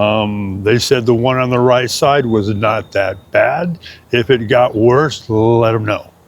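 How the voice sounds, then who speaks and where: At a very slow pace, a man talks at a medium pitch. His pitch varies in an ordinary way. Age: 60s. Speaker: shelter resident. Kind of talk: testimony. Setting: outdoors. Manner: halting.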